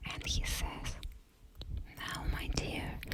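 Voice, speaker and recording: The background noise is noticeable. Words come in a whisper at a very slow pace. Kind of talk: ASMR fairytale reading for sleep. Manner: whispered.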